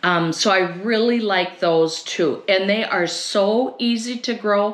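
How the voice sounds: A woman with a medium pitch speaks at a fairly slow pace and ordinary pitch variation, with audible room echo around her.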